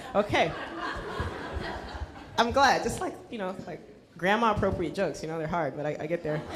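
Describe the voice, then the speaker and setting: The speaker talks at a fairly quick pace with long, frequent pauses and lively intonation. Loudness swings widely, and background noise is noticeable. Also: woman, medium pitch for a woman. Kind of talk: event host introduction.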